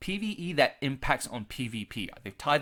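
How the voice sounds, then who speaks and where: A man with an Australian accent speaks with lively intonation and a medium pitch. The recording is very clean, with a silent background. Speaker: gaming youtuber. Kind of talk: casual video commentary. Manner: normally fast. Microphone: large expensive studio microphone.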